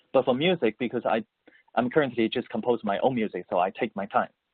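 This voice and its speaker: Using a medium pitch with very wide swings, a man talks at a fairly quick pace in a Mandarin accent. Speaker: musician, composer and voice-over artist. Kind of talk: interview. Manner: halting, many repetitions and fillers.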